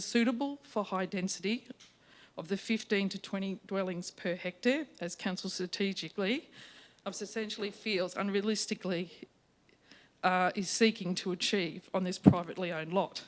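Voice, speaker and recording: Moderate-paced speech with an Australian accent. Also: woman. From Australia, Victoria (Colac area). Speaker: town planner. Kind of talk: formal submission to council. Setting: council meeting chamber with microphone. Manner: loud.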